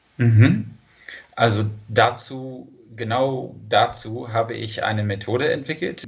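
Speaking very slowly with long, frequent pauses, a man talks with vocal fry. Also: medium pitch for a man, ordinary pitch variation. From California, San Diego. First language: English (speaking German). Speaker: language teacher and polyglot coach. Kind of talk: interview.

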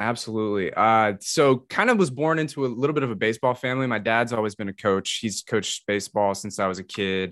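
In an American accent, the speech runs at a very fast pace with hardly any pauses and ordinary pitch variation, in a dry, close sound with no echo over a quiet background. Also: man, medium pitch for a man. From US South, metro Atlanta, Georgia. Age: 20s. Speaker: podcaster and streamer. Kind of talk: casual chat.

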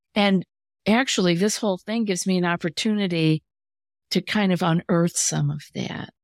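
A woman's ordinary speaking voice at a moderate pace, with fairly even intonation, in a dry, close sound with no echo and a very clean recording with a silent background. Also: medium pitch for a woman. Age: 60s. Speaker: anxiety coach and podcast host. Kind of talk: casual interview chat.

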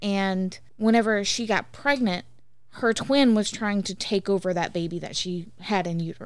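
A woman speaks in an unremarkable speaking voice. Her pitch is medium, with ordinary pitch variation. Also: moderate pace, very clean recording, silent background. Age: 30s. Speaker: podcast host's wife and guest. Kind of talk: casual chat.

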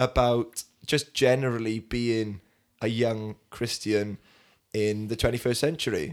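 A man with a Welsh accent speaks at a medium pitch. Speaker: podcast host and youth leader. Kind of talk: casual chat.

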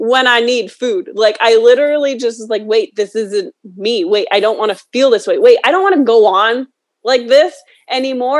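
An unremarkable speaking voice from a woman, fairly high in pitch, with an American accent, lively intonation, and a moderate pace. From New York. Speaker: author and motivational speaker. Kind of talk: interview.

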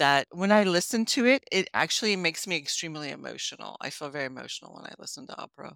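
A woman races along at a very fast pace, her tone bright and sharp and her intonation lively. The sound is dry and close with no echo, on a very clean recording with a silent background. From US, raised by Italian immigrant parents. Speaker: health coach and former molecular biologist. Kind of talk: interview conversation.

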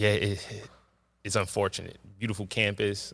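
A man speaks with a New York accent. The recording is very clean, with a silent background. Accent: New York City. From Jamaica, Queens, New York City. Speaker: high school basketball coach. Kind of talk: casual interview. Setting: school gymnasium.

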